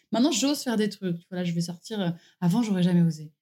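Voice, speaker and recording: A woman speaks very fast at medium pitch, with ordinary pitch variation. Her tone is dark and mellow, somewhat breathy. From southern France, Var. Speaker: naturopath. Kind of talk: interview. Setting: at her home.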